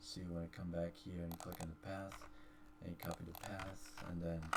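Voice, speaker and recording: A man's very deep, low voice over noticeable background noise. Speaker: gaming YouTuber. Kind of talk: tutorial. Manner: fast. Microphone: poor voice quality.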